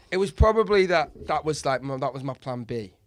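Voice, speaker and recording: Speaking at a very fast pace with a Mancunian accent, a man makes very wide pitch swings. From Manchester, northern England. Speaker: comedian. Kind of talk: casual chat. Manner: halting.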